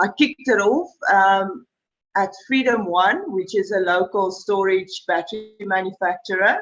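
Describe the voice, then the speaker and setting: A woman talks in an unremarkable speaking voice at a medium pitch. Her pace is fairly slow, with ordinary pitch variation. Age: 40s. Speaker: sales and marketing manager. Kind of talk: panel discussion.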